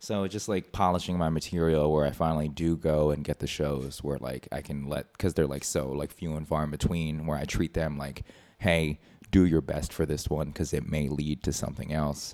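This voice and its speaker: A man with an American accent speaks at a moderate pace in a very deep, low voice, his dark, mellow tone held to a fairly even intonation. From Philadelphia. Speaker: comedian.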